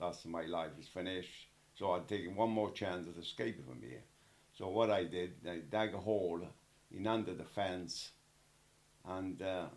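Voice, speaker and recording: Speaking at a moderate pace in an Italian accent, a man with a very deep, low voice uses ordinary pitch variation, big swings in loudness and long, frequent pauses. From Italy. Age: 80s+. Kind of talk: interview answer.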